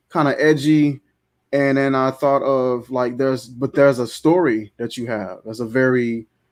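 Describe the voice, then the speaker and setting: Against a quiet background, a man speaks at a moderate pace in a medium pitch with fairly even intonation. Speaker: fragrance show co-host. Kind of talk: casual chat. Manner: calm, soothing.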